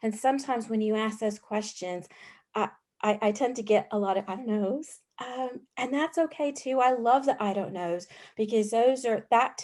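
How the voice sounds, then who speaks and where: Against a quiet background, a woman speaks at a moderate pace and fairly high pitch, with ordinary pitch variation. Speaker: youth mental health worker. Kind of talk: panel discussion. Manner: loud and sassy.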